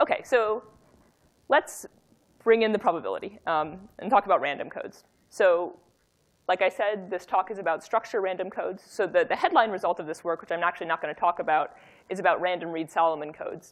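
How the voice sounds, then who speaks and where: Talking at a fairly quick pace, a woman keeps a medium pitch. Her pitch variation is ordinary. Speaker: academic researcher giving a talk. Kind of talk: lecture. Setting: workshop talk with audience. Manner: fast; halting, many fillers and restarts.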